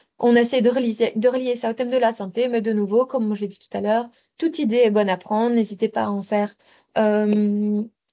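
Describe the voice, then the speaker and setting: A woman's fairly high-pitched voice, fairly quick and fairly even in intonation, against a quiet background. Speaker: mobility advisor. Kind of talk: webinar presentation. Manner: fast.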